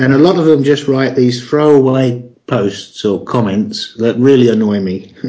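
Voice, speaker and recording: A man with ordinary pitch variation. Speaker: online marketing course creator. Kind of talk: interview. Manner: hesitant, filler words.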